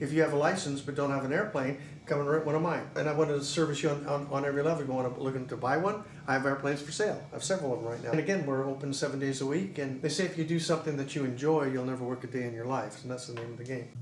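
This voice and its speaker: A man talks very fast with hardly any pauses, his pitch fairly high and his intonation fairly even. Noticeable background noise and audible room echo surround him. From California, San Jose area. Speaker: airport business owner. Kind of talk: casual interview.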